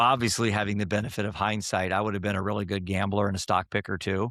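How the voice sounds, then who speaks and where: Here a man has a normal speaking voice at a fairly low pitch. He talks at a fairly quick pace in a very clean recording with a silent background. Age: 60s. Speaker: mental health app founder. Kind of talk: podcast interview.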